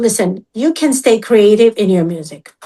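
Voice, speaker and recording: A woman with a dark, mellow tone and fairly high pitch speaks at a very slow pace, using ordinary pitch variation. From Georgia, former USSR. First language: Russian or Georgian. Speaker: musician. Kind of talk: casual interview chat.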